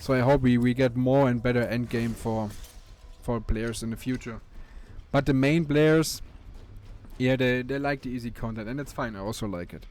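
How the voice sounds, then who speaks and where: This man speaks with a German accent at a moderate pace and a medium pitch. His intonation stays fairly even, broken by long, frequent pauses. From Germany. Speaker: gaming YouTuber. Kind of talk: gameplay commentary. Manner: halting, frequent fillers and repeats.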